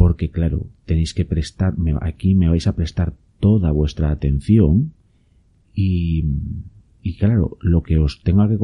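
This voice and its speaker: Very slowly and in a Spanish accent, a man speaks with a very deep, low pitch, a dark, mellow tone, somewhat breathy delivery and lively intonation. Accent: Peninsular Spanish. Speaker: podcast host and YouTuber on permaculture. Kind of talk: casual solo talk to listeners. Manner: hesitant, many fillers.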